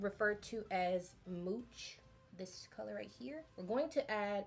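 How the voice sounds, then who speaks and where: The speaker is somewhat breathy, with lively intonation at a moderate pace. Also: woman. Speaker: beauty youtuber. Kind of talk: makeup tutorial. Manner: casual, halting.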